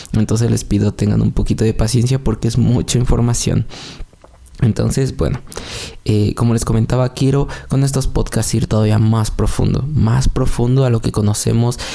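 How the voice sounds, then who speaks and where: A man speaks at a moderate pace and a medium pitch. His loudness is very even, and there is noticeable background noise. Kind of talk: religious podcast monologue. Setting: at home, recorded in the early morning. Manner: soft-spoken, quieter than usual; calm, less energetic than usual.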